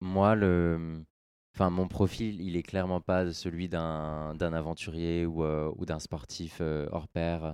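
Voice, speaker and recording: Against a quiet background, a man talks at a fairly slow pace with a dark, mellow tone. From France, Orléans. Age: 20s. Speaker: adventurer, long-distance walker. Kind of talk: interview. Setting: studio, in person.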